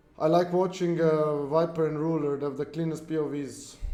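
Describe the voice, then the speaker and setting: A fairly high-pitched man's voice with audible room echo. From Australia. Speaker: video game streamer. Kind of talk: live gameplay stream chat. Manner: casual, rambling with fillers.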